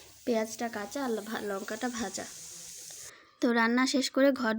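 A woman's fairly high-pitched voice comes through in a very clean recording with a silent background. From West Bengal, Alipurduar district. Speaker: lifestyle vlogger. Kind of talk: casual vlog narration. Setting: at home, outdoors in courtyard. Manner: occasional stutter.

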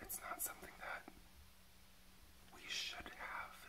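Someone whispers at a moderate pace. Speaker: ASMR creator and reiki practitioner; drag queen performer. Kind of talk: ASMR reiki healing session. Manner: soft-spoken, whispering. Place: home room.

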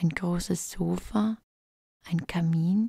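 A woman speaks in a calm tone, her voice fairly low, dark, mellow and somewhat breathy, with a dry, close sound and no echo. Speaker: relaxation guide / ASMR creator. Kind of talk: guided relaxation fantasy journey, sleep story. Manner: calm, soft-spoken, slow.

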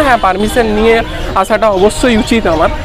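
A man speaks at a high pitch with ordinary pitch variation. The sound is dry with no echo, and music plays clearly in the background. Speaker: food vlogger. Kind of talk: casual vlog chat. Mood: mildly disappointed, explaining. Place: street. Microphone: phone near.

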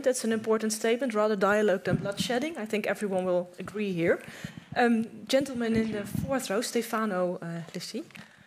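A woman with a normal speaking voice talks at a fairly quick pace, fairly high in pitch with ordinary pitch variation, over light background noise. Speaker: event moderator and history professor; event moderator, history professor. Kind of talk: moderating a panel discussion. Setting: stage with audience. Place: hall.

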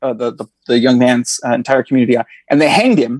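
In an American accent, the speaker moves at a fairly quick pace with fairly even intonation, the sound dry with no echo over a quiet background. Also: man. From northern California. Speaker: history professor. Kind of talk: interview. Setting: video call. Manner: halting, many fillers. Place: home room. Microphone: earbuds.

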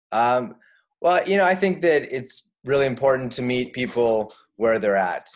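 A man with a Canadian accent, lively intonation and moderate pace against a quiet background. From Canada, Saskatchewan prairies. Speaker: family physician and yoga teacher. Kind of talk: interview. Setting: video call. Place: home room. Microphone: webcam.

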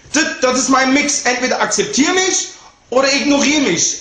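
An animated man at an extremely high pitch and a moderate pace, with audible room echo. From Germany, Cologne; Germany. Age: 20s. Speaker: rapper. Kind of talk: video statement; direct-to-camera statement. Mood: defensive, indignant. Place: home room. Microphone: webcam.

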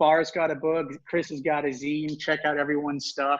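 The speech runs at a moderate pace over a quiet background. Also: man. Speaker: panel moderator and drummer. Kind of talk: moderating a panel. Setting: on an iPad with headphones.

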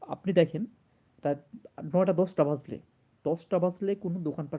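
The voice belongs to a man with a dark, mellow tone. His pitch varies in an ordinary way. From Bangladesh. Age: 30s. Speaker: video blogger. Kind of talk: emotional monologue to camera. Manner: halting, repetitive.

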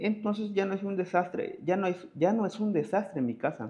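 The speaker is male. He talks fairly slowly. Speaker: vlogger. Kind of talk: video diary. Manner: swallows syllables. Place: studio. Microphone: lapel.

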